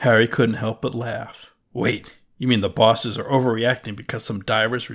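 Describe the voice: Someone does plain reading aloud, and nothing intrudes on the quiet background.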